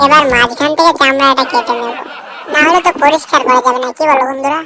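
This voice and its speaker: A woman speaks in a put-on character voice with a high pitch. Her pace is fairly quick. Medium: fan dub. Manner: chatty, playful.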